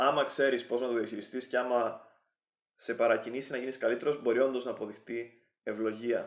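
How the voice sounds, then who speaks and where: A man talks at a moderate pace and a medium pitch. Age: 20s. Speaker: YouTuber giving relationship advice. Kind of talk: vlog monologue.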